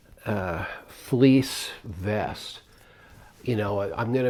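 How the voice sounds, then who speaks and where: Ordinary pitch variation in a man's fairly low-pitched voice. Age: 60s. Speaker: retiree and long-distance hiker. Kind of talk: casual talk to camera. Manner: hesitant, many fillers.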